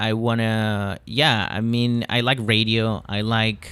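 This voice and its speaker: A man speaks with a Spanish accent at medium pitch. His intonation stays fairly even. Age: 20s. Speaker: stand-up comedian. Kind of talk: casual chat. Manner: halting.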